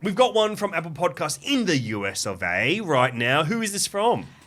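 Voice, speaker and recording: In a Greek Australian accent, a man talks at a fairly quick pace with an animated tone and lively intonation. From Sydney, Australia (Canterbury, Greek Australian). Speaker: podcast host. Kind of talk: casual chat.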